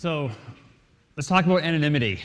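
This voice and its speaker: Someone speaks with an American accent, with audible room echo. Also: man. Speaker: conference speaker. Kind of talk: lecture. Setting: stage with audience. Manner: fast.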